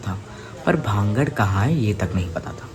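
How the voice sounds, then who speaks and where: Over noticeable background noise, a man speaks with a Hyderabadi accent and ordinary pitch variation. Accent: Hyderabadi-accented Hindi. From India, Hyderabad. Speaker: youtube storyteller. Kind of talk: casual storytelling. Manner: halting, with repetitions and fillers.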